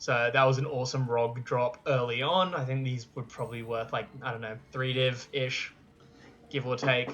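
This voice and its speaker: A man with an Australian accent and fairly even intonation, over noticeable background noise. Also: medium pitch for a man, moderate pace. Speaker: gaming youtuber. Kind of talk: casual gameplay recap monologue. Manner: casual, with fillers.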